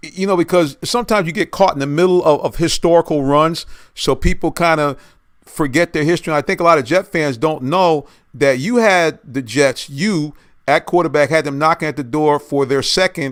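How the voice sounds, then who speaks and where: A man with an American accent and a plain, everyday voice speaks at a fairly quick pace in a fairly high pitch with ordinary pitch variation, on a very clean recording with a silent background. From US Northeast. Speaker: sports talk show host. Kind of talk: interview.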